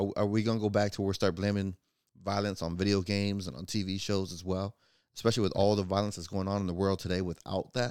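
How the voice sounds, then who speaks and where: In an American accent, a man talks at a very fast pace with a fairly low pitch. His delivery is monotone and flat, and the recording is very clean with a silent background. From Florida, US. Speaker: podcast host. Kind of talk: casual solo commentary podcast.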